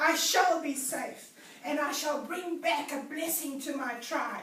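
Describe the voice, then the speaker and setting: A woman uses a put-on character voice with a high pitch. She speaks at a fairly slow pace, with a slight echo. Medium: read story.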